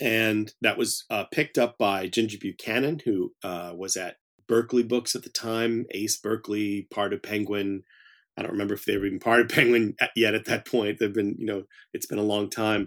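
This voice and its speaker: In a normal speaking voice, a man talks at a fairly low pitch with fairly even intonation, a dry, close sound with no echo, and a very clean recording with a silent background. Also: moderate pace. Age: 50s. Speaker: horror author. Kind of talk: interview.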